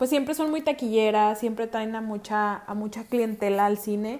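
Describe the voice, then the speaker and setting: A woman talks with a fairly high pitch at a moderate pace, her pitch varying in an ordinary way. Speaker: podcast host. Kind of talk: casual chat. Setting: remote recording from home.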